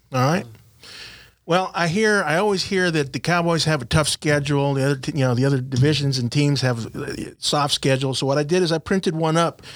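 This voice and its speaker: A plain, everyday voice from a man, fairly high in pitch, at a fairly quick pace with ordinary pitch variation, very even loudness and a very clean recording with a silent background. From South Texas (Rio Grande Valley). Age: 40s. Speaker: sports podcast host. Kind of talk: casual sports talk show. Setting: studio, live-streamed.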